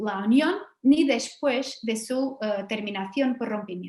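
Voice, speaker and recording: In a room with audible echo, a woman with a slight Portuguese accent talks at a fairly slow pace with ordinary pitch variation. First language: Portuguese (speaking Spanish). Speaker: law professor. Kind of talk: academic lecture.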